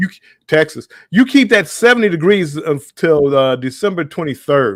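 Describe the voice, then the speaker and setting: With a Southern US accent, a man talks at a moderate pace in a fairly high pitch. His pitch swings very widely. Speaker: live stream host. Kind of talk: casual chat. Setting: live stream. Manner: halting.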